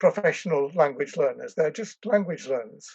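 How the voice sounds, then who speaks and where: In an English accent, a man talks at a high pitch with lively intonation, the sound dry and close with no echo. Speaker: language education professor. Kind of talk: interview. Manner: hesitant, with fillers and restarts.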